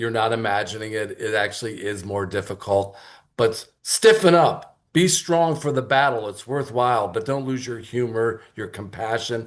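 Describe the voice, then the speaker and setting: Over a quiet background, a man has an unremarkable speaking voice at medium pitch with ordinary pitch variation. He keeps a moderate pace with hardly any pauses. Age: 60s. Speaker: club member. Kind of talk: impromptu speech.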